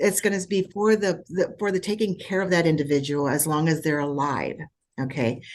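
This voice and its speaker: A woman speaks at a fairly quick pace in a fairly low pitch, with ordinary pitch variation. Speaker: escrow officer. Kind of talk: webinar Q&A. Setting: video call. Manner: fast.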